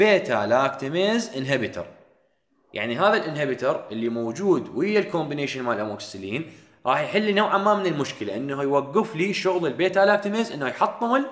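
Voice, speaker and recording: Pitch swings very widely in this voice with an Iraqi accent, heard with audible room echo. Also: man, fairly high pitch for a man, fairly quick pace. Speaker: dental pharmacology lecturer. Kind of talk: lecture.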